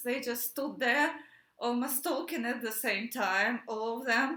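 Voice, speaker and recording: With a Russian accent, a woman with a high pitch uses a raised, projected voice at a fairly slow pace, with audible room echo. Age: 30s. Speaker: activist. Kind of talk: personal testimony. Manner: halting, many fillers.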